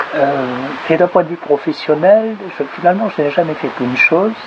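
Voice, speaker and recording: Lively in intonation, a man talks at a moderate pace through noticeable background noise. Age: 60s. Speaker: sociologist and municipal candidate. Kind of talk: self-introduction interview. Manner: halting, many hesitations.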